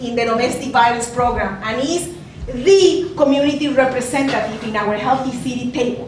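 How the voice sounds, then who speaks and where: With a Spanish accent, a woman talks at a moderate pace in a high voice with lively intonation, amid noticeable background noise and audible room echo. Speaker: community health leader. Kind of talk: lecture. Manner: halting.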